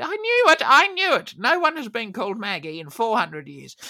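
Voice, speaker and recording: Over noticeable background noise, a woman speaks at a moderate pace with hardly any pauses. Her pitch swings very widely and her loudness rises and falls sharply. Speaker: comedy podcast host playing an elderly granny character.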